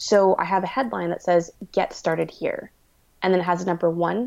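This woman has a plain, everyday voice, fairly low in pitch, with a Canadian accent, fairly even intonation and a fairly quick pace against a quiet background. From Canada. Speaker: web designer and entrepreneur. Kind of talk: interview.

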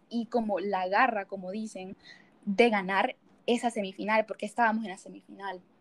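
A plain, everyday voice with fairly even intonation at a moderate pace. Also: woman. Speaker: student volleyball player. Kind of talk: casual interview.

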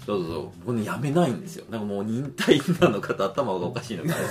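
Very fast speech with very wide pitch swings, music in the background. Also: man. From Japan, Aichi Prefecture. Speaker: physician. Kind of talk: casual chat.

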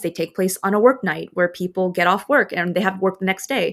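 A woman with an American accent and a normal speaking voice talks at a fairly quick pace and medium pitch, on a very clean recording with a silent background. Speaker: podcast host. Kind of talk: solo podcast episode, casual talk.

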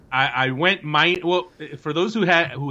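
A man's bright, sharp tone with lively intonation, at a moderate pace against a quiet background. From New Jersey. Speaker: soccer journalist and podcast co-host. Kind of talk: casual chat.

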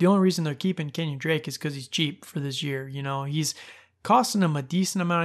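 A man with a fairly high pitch and fairly even intonation, a plain, everyday voice, over a quiet background. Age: 30s. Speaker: fantasy football podcast host. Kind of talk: solo podcast monologue. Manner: casual, laughing at times.

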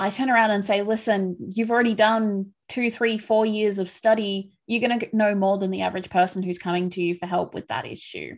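A woman speaks in a normal speaking voice at a medium pitch. Her pace is fairly quick, with hardly any pauses and fairly even intonation. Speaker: podcast host. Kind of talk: casual interview chat.

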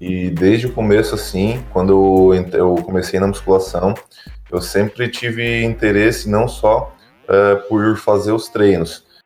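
Very slow male speech over background music. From Santa Catarina, Brazil (Tubarão). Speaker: fitness podcast host. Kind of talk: casual chat.

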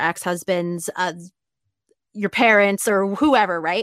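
The recording is very clean, with a silent background. The speaker has an ordinary speaking voice and a moderate pace. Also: woman. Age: 30s. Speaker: happiness mentor and podcast host. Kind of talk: casual interview chat.

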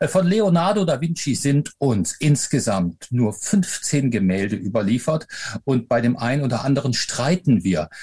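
A man speaks with lively intonation at a fairly slow pace. His voice is somewhat breathy. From Rhineland, Germany (Eifel/Aachen area), later Upper Franconia. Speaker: professor and author. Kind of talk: interview. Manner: hesitant fillers.

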